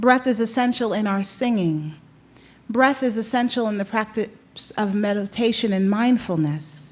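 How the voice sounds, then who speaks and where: The pace is moderate, and pitch varies in the ordinary way. It is a plain, everyday voice with an American accent. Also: woman, fairly high pitch for a woman. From New York. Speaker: chaplain. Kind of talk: opening reflection speech. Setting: conference room with audience. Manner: measured, rhetorical.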